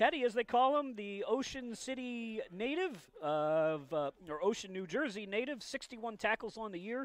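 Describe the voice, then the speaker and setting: A moderate pace in a dry sound with no echo. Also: man. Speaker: sports play-by-play announcer. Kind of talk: commentary. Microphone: headset.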